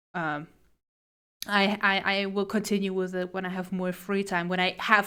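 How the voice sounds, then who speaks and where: Over a very clean recording with a silent background, a woman with a non-native accent speaks at a moderate pace in a medium-pitched, bright, sharp tone with monotone, flat intonation. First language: not English. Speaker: streamer and artist. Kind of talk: casual live stream chat. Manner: halting, frequent repetitions.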